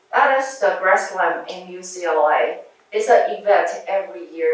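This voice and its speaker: A woman with a Chinese accent at a fairly slow pace, amid audible room echo. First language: Mandarin Chinese. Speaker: surgeon and researcher giving a talk to medical students. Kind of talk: lecture.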